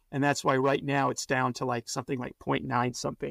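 A man talks at a medium pitch with vocal fry. The recording is very clean with a silent background and a dry, close sound with no echo. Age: 40s. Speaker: portfolio manager. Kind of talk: interview. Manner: halting, many fillers.

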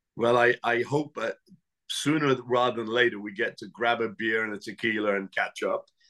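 With an English accent, a man speaks at medium pitch and a moderate pace, his bright, sharp tone carrying fairly even intonation in a dry, close sound with no echo. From England. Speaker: chef and Navy veteran. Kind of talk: interview conversation.

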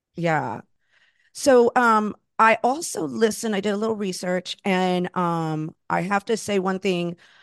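A normal speaking voice moves at a fairly slow pace with ordinary pitch variation. The background is quiet, and the sound is dry and close with no echo. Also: woman, medium pitch for a woman. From Florida, Puerto Rican and Cuban family. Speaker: podcast host. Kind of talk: casual interview chat.

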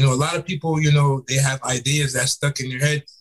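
Somewhat breathy and monotone, the voice runs at a very fast pace. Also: man. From South Florida, Fort Lauderdale; Jamaican parents. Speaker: entrepreneur and author. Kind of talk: podcast interview. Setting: call.

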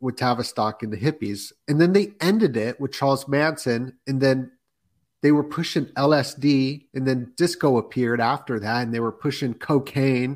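A man with a plain, everyday voice talks at a moderate pace, his pitch medium and its variation ordinary. The recording is very clean, with a silent background. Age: 30s. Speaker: podcaster guest. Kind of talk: casual chat.

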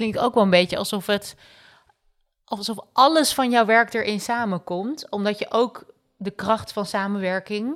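A woman speaks at a fairly slow pace in a fairly high voice with ordinary pitch variation and a normal speaking voice, on a very clean recording with a silent background. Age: 30s. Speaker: podcast co-host. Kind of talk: casual chat.

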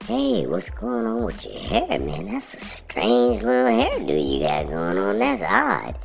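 Putting on a character voice at medium pitch, a man speaks at a fairly slow pace with hardly any pauses as clear music plays in the background. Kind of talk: casual, colloquial. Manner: jovial, enthusiastic, mockingly friendly.

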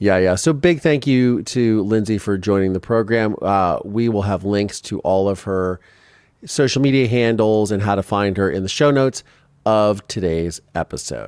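A man with a normal speaking voice, fairly low pitch, ordinary pitch variation and a moderate pace. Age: 40s. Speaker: podcast host. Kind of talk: interview.

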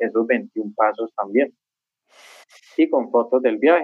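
A man at a fairly slow pace. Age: 50s. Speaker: author and traveler. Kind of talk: interview.

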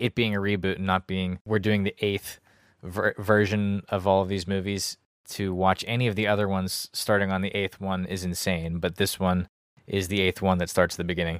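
Recorded very cleanly with a silent background and a dry, close sound with no echo, a man speaks at a fairly quick pace in a very deep, low, monotone voice with flat intonation. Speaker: co-host. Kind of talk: casual comedic movie review chat.

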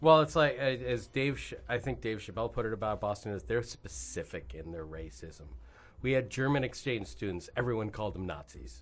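In an American accent, a man speaks at a moderate pace with fairly low pitch and vocal fry. His pitch swings very widely, and the recording is very clean with a silent background. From New York. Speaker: musician and actor. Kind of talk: casual chat.

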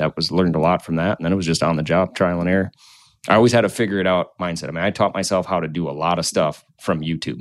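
With an American accent, this man talks at a very fast pace in a very deep, low pitch, his intonation fairly even, on a very clean recording with a silent background and a dry, close sound with no echo. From Minnesota, Goodhue. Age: 30s. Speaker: company CEO, electrical contractor. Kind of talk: casual interview.

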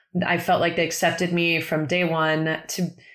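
A woman with a normal speaking voice, fairly low in pitch, with fairly even intonation. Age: 40s. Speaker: podcast host. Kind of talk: casual chat.

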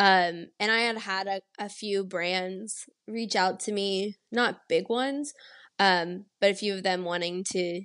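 An ordinary speaking voice from a woman with an American accent, medium in pitch with fairly even intonation, over a quiet background. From Texas, San Antonio. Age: 20s. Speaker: chef and social media creator. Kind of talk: casual interview.

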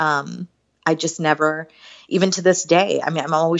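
Her pitch is very deep and low, and her intonation fairly even. A woman with an American accent speaks at a fairly quick pace. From southern West Virginia (Beckley). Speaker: political strategist. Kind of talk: interview conversation.

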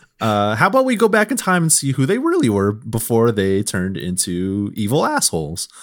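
A man with a slight Southern US accent talks at a fairly quick pace with hardly any pauses, in a very clean recording with a silent background. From US South, Mississippi. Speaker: video game journalist. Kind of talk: casual chat.

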